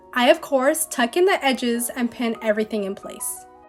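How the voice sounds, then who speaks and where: Over music in the background, a woman speaks at a high pitch and a moderate pace with lively intonation. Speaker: DIY costume maker / vlogger. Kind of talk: DIY tutorial voiceover. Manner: casual.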